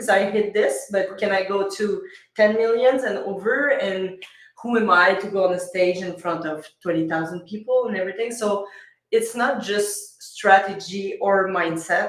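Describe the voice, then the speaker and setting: In a Quebec accent, a woman of medium pitch speaks at a fairly slow pace with fairly even intonation and audible room echo. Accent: French-Canadian accent in English. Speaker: business coach and speaker. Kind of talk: podcast interview. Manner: occasionally halting, searching for words.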